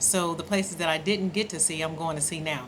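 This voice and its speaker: A woman with an American accent speaks in a bright, sharp tone at a fairly low pitch, her intonation monotone and flat, with audible room echo. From Oakland, California. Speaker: travel vlogger. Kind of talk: casual vlog monologue. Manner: casual, conversational, frequent fillers.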